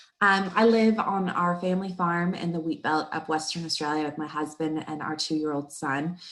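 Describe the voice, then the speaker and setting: There are hardly any pauses as a woman with a fairly low voice and a slight Texan accent speaks at a moderate pace with fairly even intonation over noticeable background noise. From Texas. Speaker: marketing coach and webinar presenter. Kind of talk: webinar presentation.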